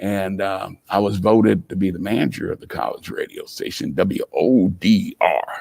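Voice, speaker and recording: A man with an American accent at a moderate pace, hardly any pauses, and big swings in loudness. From US Midwest, Columbus, Ohio. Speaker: entrepreneur. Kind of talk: interview storytelling.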